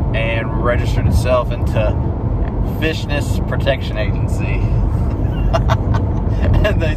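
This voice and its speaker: Loud background noise, a moderate pace, and a dry sound free of echo. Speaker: comedian. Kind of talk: casual joke telling in conversation. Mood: relaxed, playful. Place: car. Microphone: phone near.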